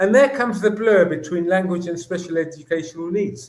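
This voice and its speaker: A man talks at a fairly quick pace. He has a Greek accent. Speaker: educator. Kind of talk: interview. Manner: animated.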